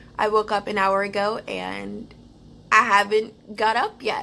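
A bright, sharp tone with vocal fry over light background noise. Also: woman. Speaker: vlogger. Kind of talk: casual vlog chat. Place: home room. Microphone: phone near.

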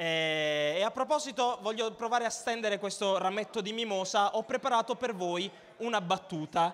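With lively intonation and an animated tone, a man speaks in a high pitch over light background noise. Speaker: stand-up comedian. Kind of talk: stand-up comedy, crowd-work banter and irreverent jokes. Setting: stage with audience. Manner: animated, cheeky, provocative, teasing the audience. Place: stage. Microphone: handheld.

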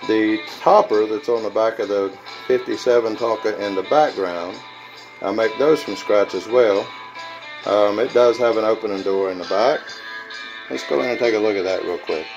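Clear music plays in the background as a man speaks at a moderate pace. His pitch varies in an ordinary way, and he leaves long, frequent pauses. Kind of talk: casual show-and-tell vlog. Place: workshop. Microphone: phone near.

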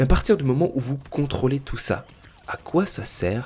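Speaking at a fairly slow pace, a man sounds somewhat breathy. His intonation is lively. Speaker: gaming YouTuber. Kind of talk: solo podcast monologue. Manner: hesitant, many fillers.

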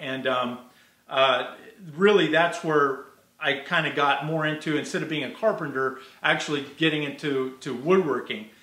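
Audible room echo surrounds a man whose pitch varies in an ordinary way. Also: moderate pace. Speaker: guest. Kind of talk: interview answer. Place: workshop. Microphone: earbuds.

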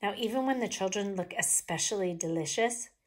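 Natural-voiced reading aloud

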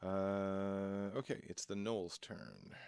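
At a slow pace, the voice has a clear, smooth, slightly mellow tone with vocal fry and fairly even intonation. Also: man, low pitch for a man.

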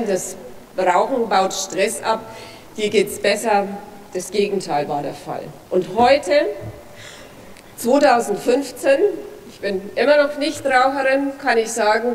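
A woman with a strong Franconian accent speaks very slowly at a fairly high pitch, with lively intonation, big swings in loudness, long, frequent pauses and light background noise. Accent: broad Franconian German. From Franconia, Germany. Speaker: politician, federal drug commissioner. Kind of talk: parliamentary speech. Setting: parliament chamber. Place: hall. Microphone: podium.

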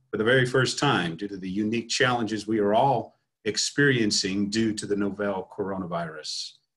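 A somewhat breathy man at a moderate pace, lively intonation, quiet background. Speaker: association president hosting webinar. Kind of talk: formal opening announcement. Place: home room. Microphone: webcam.

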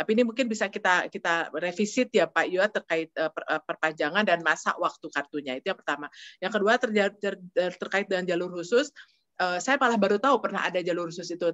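A woman speaks at a very fast pace with a medium pitch and ordinary pitch variation. The background is quiet. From Bandung, West Java, Indonesia; West Java, Indonesia. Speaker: diplomat; guest. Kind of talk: interview. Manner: halting. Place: office. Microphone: video call.

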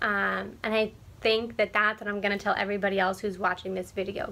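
Very fast and bright, sharp in tone, a woman with an American accent speaks at a medium pitch with vocal fry and fairly even intonation. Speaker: sign language interpreter and vlogger. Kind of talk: casual vlog monologue. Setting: solo video recording. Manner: hesitant, many filler words.

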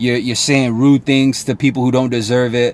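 The sound is dry with no echo. A man speaks at medium pitch with fairly even intonation. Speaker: sales coach. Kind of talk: motivational talk to camera. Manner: casual, direct, uses slang and curse words. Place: car. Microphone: phone near.

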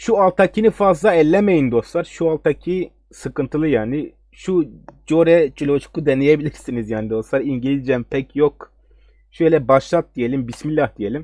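This man's voice sits fairly high in pitch, with a dark, mellow tone. His intonation is lively. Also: moderate pace, dry, close sound with no echo. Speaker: gaming tech YouTuber. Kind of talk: tutorial. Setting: screen recording at home computer. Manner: hesitant, many fillers.

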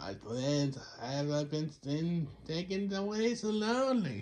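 A man puts on a character voice, fairly high in pitch. He speaks very slowly over clear background noise. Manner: lonely, dramatic.

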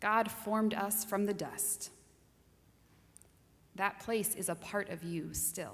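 A woman speaks in a flat monotone with a somewhat breathy voice. Her pace is very slow, broken by long, frequent pauses. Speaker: minister giving a sermon. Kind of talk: sermon delivered to a congregation. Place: church. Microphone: podium.

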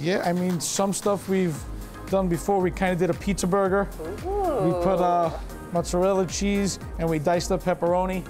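Clear music plays in the background as a man speaks at a moderate pace. His pitch is high and his intonation monotone and flat. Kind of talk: tutorial. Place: kitchen.

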